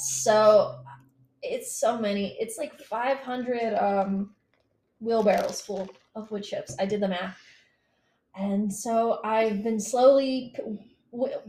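A woman with an American accent, a fairly high pitch, ordinary pitch variation, a somewhat breathy, dark, mellow tone, a very slow pace and long, frequent pauses. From US South, Eastern Kentucky. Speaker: electrical engineer and gardener. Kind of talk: casual chat.

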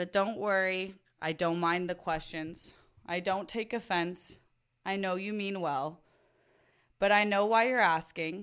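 In a very clean recording with a silent background, an American accent comes through at a fairly slow pace, with fairly even intonation and long, frequent pauses. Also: woman, medium pitch for a woman. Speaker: podcast host. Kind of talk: casual chat.

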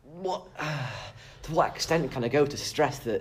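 At a very slow pace, the delivery sounds somewhat breathy. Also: man. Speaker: young Conservative guest. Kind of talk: casual interview.

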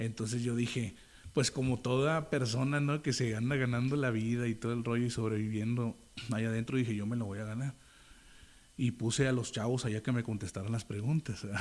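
A man speaks in a normal speaking voice at medium pitch. His pace is fairly quick and his intonation fairly even, on a very clean recording with a silent background. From Monterrey, northern Mexico. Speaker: rapper and pastor. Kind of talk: casual interview. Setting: on location, outdoors street. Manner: casual, slangy.

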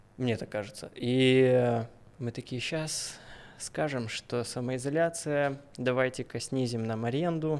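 Speaking at a very slow pace, a man keeps his medium-pitched voice in fairly even intonation. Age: 20s. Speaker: tattoo artist. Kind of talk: casual chat. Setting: studio.

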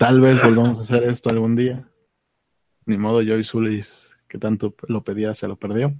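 At a moderate pace, a man speaks in a flat monotone at medium pitch, the sound dry and close with no echo. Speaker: podcast co-host. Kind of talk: casual chat. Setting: at home.

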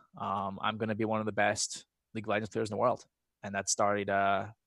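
Here a man speaks with an American accent. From Scotland. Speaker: esports professional. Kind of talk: casual chat.

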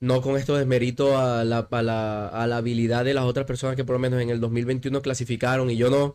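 Hardly pausing at all, a man speaks at a fairly quick pace in a monotone, flat intonation with very even loudness. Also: medium pitch for a man. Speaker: CrossFit coach. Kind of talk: casual interview.

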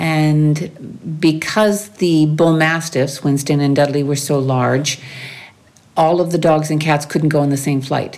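A woman with a Maritime Canadian accent speaks in a very deep, low pitch with fairly even intonation and very even loudness. Audible room echo surrounds her voice. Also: fairly slow pace. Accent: Canadian (Maritimes) English. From New Brunswick, Canada. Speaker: expat interviewee. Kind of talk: interview.

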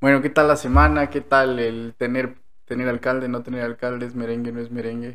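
An ordinary speaking voice from a man, medium in pitch with ordinary pitch variation. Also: fairly quick pace. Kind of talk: casual chat. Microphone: new microphone.

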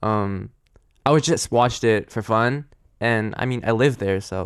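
A man speaks in a New Jersey accent. He talks at a fairly slow pace. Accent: American (New Jersey). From US, New Jersey. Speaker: guest. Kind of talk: casual chat. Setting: studio.

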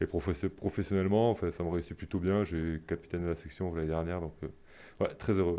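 A man's very deep, low voice with a dark, mellow tone, very fast pace and fairly even intonation, over a quiet background. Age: 30s. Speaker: professional rugby player. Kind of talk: casual interview. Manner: halting, repeats words.

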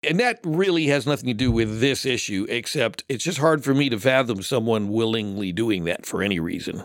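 Someone in an unremarkable speaking voice talks at a fairly quick pace with hardly any pauses. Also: man, medium pitch for a man. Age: 60s. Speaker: guest host. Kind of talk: casual chat. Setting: studio.

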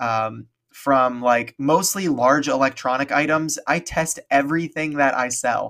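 A man with a plain, everyday voice speaks at medium pitch with fairly even intonation, on a very clean recording with a silent background. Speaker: reseller and YouTuber. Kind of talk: casual chat.

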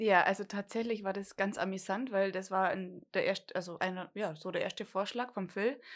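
At a moderate pace, a woman with a plain, everyday voice speaks in a medium pitch with fairly even intonation. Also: very clean recording, silent background. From Bavarian Swabia, Germany (Dillingen an der Donau). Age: 30s. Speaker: podcast co-host, lab test engineer. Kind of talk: casual chat. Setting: home, garden table.

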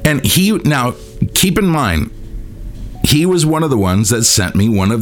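A man speaks against noticeable background noise. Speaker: musician and podcast host. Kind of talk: solo rant monologue. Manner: casual, rambling, heated.

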